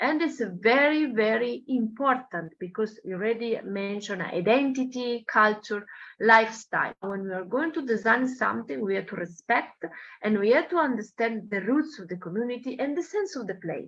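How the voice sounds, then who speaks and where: Her intonation lively, a woman speaks with big swings in loudness. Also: fairly high pitch for a woman, moderate pace. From Italy. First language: Italian. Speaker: architecture professor. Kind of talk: lecture. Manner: halting, with frequent fillers.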